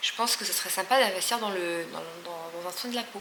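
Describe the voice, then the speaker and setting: Noticeable background noise runs under a woman's voice. She talks at a very fast pace with ordinary pitch variation. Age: 20s. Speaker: lifestyle vlogger. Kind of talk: casual vlog talk to camera.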